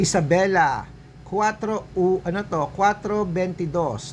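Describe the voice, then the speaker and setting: Noticeable background noise behind speech at a very slow pace. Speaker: vlogger giving lottery numbers. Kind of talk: casual vlog talk and number listing. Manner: chatty.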